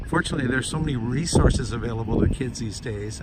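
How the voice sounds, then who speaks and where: Talking at a very fast pace, a man uses a medium pitch with ordinary pitch variation. Audible room echo and noticeable background noise fill the recording. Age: 70s. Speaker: environmental commentator / elder. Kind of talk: casual monologue vlog. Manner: reflective, with filler hesitations.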